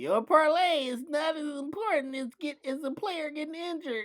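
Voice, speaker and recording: A put-on character voice, high-pitched and nasal. It moves at a moderate pace. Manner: smug, dismissive.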